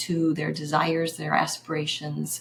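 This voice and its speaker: A woman speaks fairly slowly while noticeable noise carries on in the background. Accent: American. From US Midwest, Kansas City. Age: 60s. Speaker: graphic designer and women's coach. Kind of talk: podcast interview. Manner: halting, many fillers.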